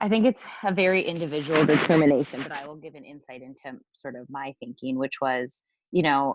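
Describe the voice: Speaking at a fairly quick pace, a woman uses a low pitch with ordinary pitch variation.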